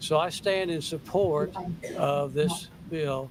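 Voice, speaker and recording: The voice rises and falls with ordinary pitch variation over noticeable background noise. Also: man. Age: 70s. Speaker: public hearing witness. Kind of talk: testimony. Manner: halting.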